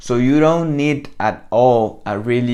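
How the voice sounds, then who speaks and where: Fairly even intonation in a Spanish accent. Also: man. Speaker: copywriting coach. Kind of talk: tutorial. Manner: casual, conversational.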